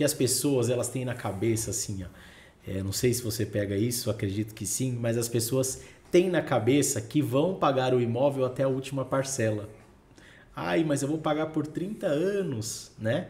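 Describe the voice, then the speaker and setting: With a Brazilian accent, a man speaks at a moderate pace with lively intonation. His tone is dark and mellow, and somewhat breathy. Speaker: podcast host, real estate; podcast host. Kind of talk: casual podcast interview. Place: studio. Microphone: studio mic.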